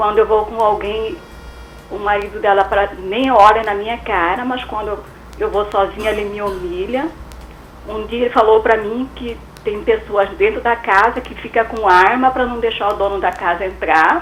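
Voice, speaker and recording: Over noticeable background noise, the speech comes at a moderate pace with ordinary pitch variation. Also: woman, fairly high pitch for a woman. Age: 60s. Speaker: caller. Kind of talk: call-in question on radio. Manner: halting.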